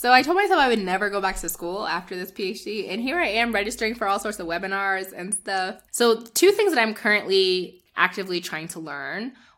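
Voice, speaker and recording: In a very clean recording with a silent background, a woman speaks with a New Jersey accent at a medium pitch and ordinary pitch variation. Her pace is fairly quick, with hardly any pauses and big swings in loudness. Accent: New Jersey American. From northern New Jersey, US. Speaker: public health scholar and retreat organizer. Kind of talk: interview.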